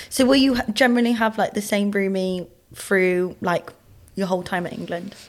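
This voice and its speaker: A woman with a strong Bristolian accent and ordinary pitch variation. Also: medium pitch for a woman, moderate pace. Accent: thick Bristolian. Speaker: women's rugby player and podcast co-host. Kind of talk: casual podcast chat.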